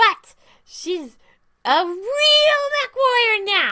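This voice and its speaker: A put-on character voice, female-sounding, at an extremely high pitch and a very slow pace. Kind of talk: casual livestream chat.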